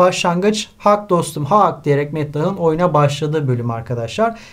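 A man's lively intonation at a moderate pace against a quiet background. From Turkey. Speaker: high school literature teacher. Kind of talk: lecture. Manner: hesitant with filler sounds.

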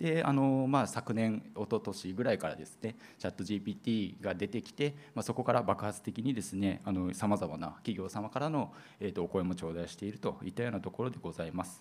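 Using an ordinary speaking voice, a man with a fairly low pitch talks at a fairly quick pace with lively intonation. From Kagoshima, Japan. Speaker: seminar moderator and presenter at an IT company. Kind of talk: conference seminar presentation. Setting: seminar hall with audience at an expo. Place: hall.

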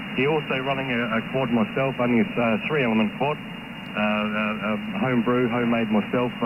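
Speaking with a New Zealand accent at a moderate pace, the voice holds a very even loudness and ordinary pitch variation, with hardly any pauses, over noticeable background noise. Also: man. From New Zealand, South Island. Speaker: CB radio operator. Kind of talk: casual chat. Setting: radio transmission. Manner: halting. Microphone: two way radio.

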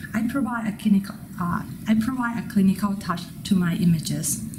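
A woman with a Thai accent speaks at a medium pitch with ordinary pitch variation. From Thailand. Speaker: MFA photography student. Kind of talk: prepared artist statement.

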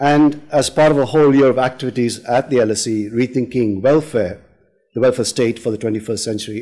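Over a quiet background, a man talks at a fairly quick pace with a dark, mellow tone and big swings in loudness. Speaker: panel chair. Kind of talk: event introduction. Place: hall. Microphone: podium.

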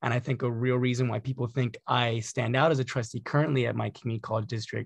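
A somewhat breathy voice at a very fast pace, dry sound with no echo over a quiet background. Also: man. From Santa Clarita, Southern California; Southern California. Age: 20s. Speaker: community college trustee. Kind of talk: panel discussion. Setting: video call. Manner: repeats words when starting sentences. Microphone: video call.

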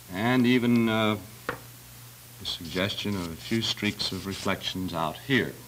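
A man speaks in a normal speaking voice, fairly low in pitch with ordinary pitch variation. He goes at a fairly slow pace over light background noise. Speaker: television drawing instructor. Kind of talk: tutorial. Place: studio.

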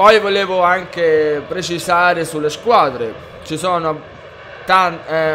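Against noticeable background noise, a man speaks at a very slow pace in a high pitch with ordinary pitch variation. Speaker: gaming youtuber. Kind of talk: casual video game review to camera.

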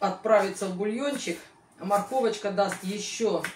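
A woman speaks at a moderate pace amid light background noise and audible room echo. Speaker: home cooking vlogger. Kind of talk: casual cooking vlog chat. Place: kitchen. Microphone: camera far.

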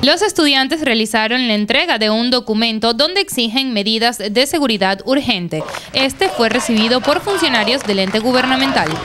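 Lively intonation at a moderate pace with hardly any pauses, over noticeable background noise. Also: woman, high pitch for a woman, very even loudness. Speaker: news reporter. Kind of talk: news reading, scripted voiceover summarizing a student protest. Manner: formal, measured, even newsreader delivery.

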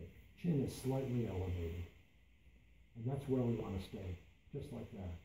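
A somewhat breathy man with a fairly low pitch and a dark, mellow tone speaks with lively intonation at a moderate pace, using long, frequent pauses, amid audible room echo and light background noise. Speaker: meditation instructor. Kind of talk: guided meditation. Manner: repeats key phrases for emphasis. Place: meeting room. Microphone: camera far.

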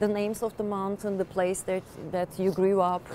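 A woman talks at a medium pitch with a Turkish accent. There is light background noise. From Turkey. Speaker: interviewer. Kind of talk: interview. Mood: warm, sympathetic. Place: stadium.

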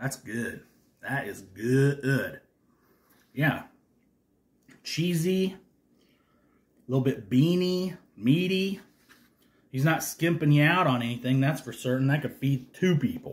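A man speaks very slowly with long, frequent pauses. His voice is somewhat breathy. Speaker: food reviewer. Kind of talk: casual vlog chat. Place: home room. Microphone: phone near.

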